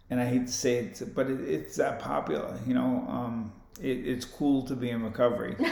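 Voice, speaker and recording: Against noticeable background noise and audible room echo, a man speaks at a medium pitch and moderate pace with ordinary pitch variation. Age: 50s. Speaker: boxing gym owner and boxer. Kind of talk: casual chat.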